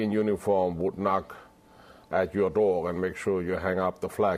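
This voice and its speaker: A man with a German accent talks at a moderate pace in a monotone, flat intonation. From southwestern Germany. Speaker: retired chef. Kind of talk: interview.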